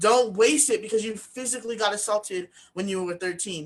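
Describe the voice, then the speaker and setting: A woman mumbling at a very fast pace with ordinary pitch variation. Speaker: author and speaking coach. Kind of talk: interview. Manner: slight mumbling, occasional slurred words; casual, many fillers.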